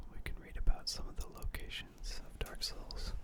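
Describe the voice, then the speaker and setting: A man whispers at a very slow pace. Noticeable background noise runs underneath. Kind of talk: whispered lore reading for sleep / ASMR.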